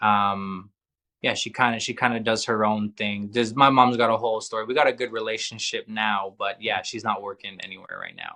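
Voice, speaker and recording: A man speaks at medium pitch and a fairly quick pace, his tone bright and sharp. The delivery is monotone and flat, set against a quiet background. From Canada, Calgary. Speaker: musician in addiction recovery. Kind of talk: podcast interview.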